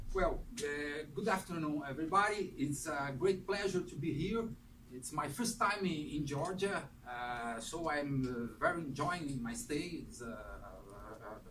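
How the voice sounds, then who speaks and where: The delivery has lively intonation and big swings in loudness. It moves at a fairly slow pace, with audible room echo. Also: man, fairly high pitch for a man. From Brazil. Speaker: history professor. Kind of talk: lecture. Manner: halting, many fillers.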